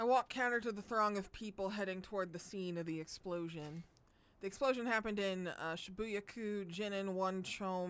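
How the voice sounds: Pitch shifts in an ordinary way in this natural reading voice.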